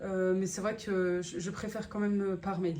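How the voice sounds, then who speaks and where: A woman speaks at a medium pitch, with noticeable background noise and audible room echo. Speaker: family vlogger and cooking appliance seller. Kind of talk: sales pitch; casual vlog. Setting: outdoors walking. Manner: hesitant with fillers; soft-spoken.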